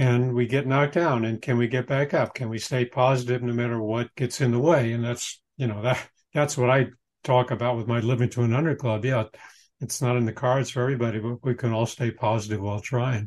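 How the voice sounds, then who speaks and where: A man speaks at a fairly quick pace in an ordinary speaking voice of medium pitch. The background is quiet. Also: fairly even intonation. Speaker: podcast host. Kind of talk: interview conversation.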